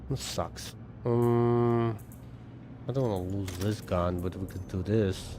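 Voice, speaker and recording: Speaking at a very slow pace with long, frequent pauses, a man uses a dark, mellow tone, fairly low pitch and fairly even intonation, with audible room echo. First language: not English. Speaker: gaming streamer. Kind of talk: casual live-stream gameplay chat. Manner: casual, thinking aloud with fillers.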